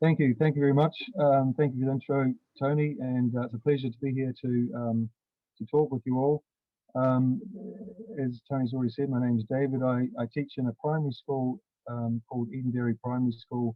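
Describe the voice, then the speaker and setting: A man with a New Zealand accent talks at a fairly quick pace and medium pitch, his intonation fairly even. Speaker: primary school teacher. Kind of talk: online conference presentation.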